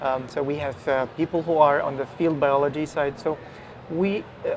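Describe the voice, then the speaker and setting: A man's fairly high voice with an Arabic accent at a moderate pace, over noticeable background noise. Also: fairly even intonation. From Egypt. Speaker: virologist. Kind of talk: interview. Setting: live event broadcast.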